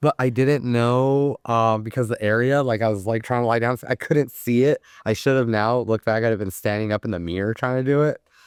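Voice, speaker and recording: A man with an American accent speaks at medium pitch in an ordinary speaking voice, fairly quickly and with hardly any pauses, his intonation fairly even. The recording is very clean with a silent background and a dry, close sound with no echo. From Arizona, Tucson. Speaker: tattoo artist. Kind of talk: casual chat.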